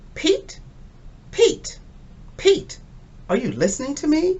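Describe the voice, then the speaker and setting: A put-on character voice, squeaky and extremely high-pitched, at a fairly slow pace. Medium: read story. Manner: stern.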